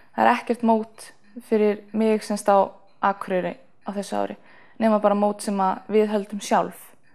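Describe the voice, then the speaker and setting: A woman's monotone, flat delivery against a quiet background. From northeast Iceland, rural Þingeyjarsveit; Iceland. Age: 20s. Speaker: athlete, long jumper and sprinter. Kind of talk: interview. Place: home room. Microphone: lapel.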